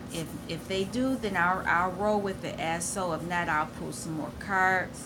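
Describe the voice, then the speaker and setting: At a fairly slow pace, a woman talks with ordinary pitch variation amid audible room echo. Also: medium pitch for a woman. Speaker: tarot reader. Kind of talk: tarot reading. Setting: at home. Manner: loud.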